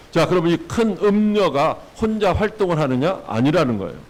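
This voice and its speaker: Noticeable background noise accompanies a man talking at a fairly quick pace with very wide pitch swings. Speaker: pastor. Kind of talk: sermon.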